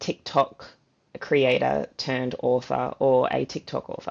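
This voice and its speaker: Speaking fairly slowly, a woman talks with an Australian accent. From Gold Coast, Australia. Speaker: fantasy author. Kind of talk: interview answer.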